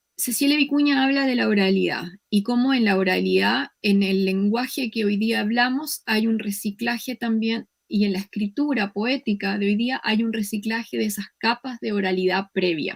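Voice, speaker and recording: Somewhat breathy, a woman with a Chilean accent speaks at a moderate pace and fairly high pitch, with ordinary pitch variation and hardly any pauses. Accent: Chilean, drops s sounds. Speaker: professor. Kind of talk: lecture.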